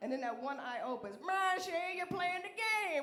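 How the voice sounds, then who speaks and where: A woman speaks in a raised, projected voice at a moderate pace. Noticeable background noise and audible room echo fill the recording. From Alabama. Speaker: comedian. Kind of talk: stand-up. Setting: stage with audience. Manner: animated.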